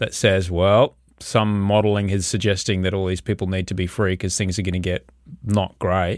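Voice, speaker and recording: In an Australian accent, a man with a fairly low voice speaks in a flat monotone on a very clean recording with a silent background. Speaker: podcast host. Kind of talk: casual chat.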